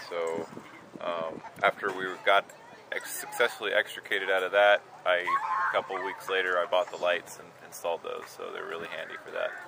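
Noticeable background noise accompanies a man who talks at a moderate speed in a dry sound with no echo. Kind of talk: interview answer. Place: open country.

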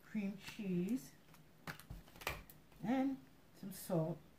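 A woman talks over noticeable background noise. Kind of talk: cooking tutorial. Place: kitchen. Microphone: phone near.

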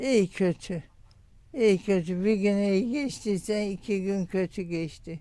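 This woman talks at a very slow pace in a medium pitch. Her tone is dark and mellow, with ordinary pitch variation. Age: 80s+. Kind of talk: interview answer.

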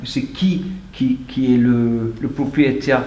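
Speaking very slowly with an English accent, a man is heard with audible room echo and light background noise. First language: English (speaking French). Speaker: meeting participant. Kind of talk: audience question. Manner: halting. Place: meeting room. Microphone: camera far.

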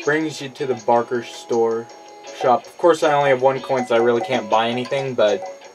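Clear music plays behind a voice moving at a fairly quick pace with ordinary pitch variation. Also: man, medium pitch for a man. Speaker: gamer. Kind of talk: casual gameplay commentary. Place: home room.

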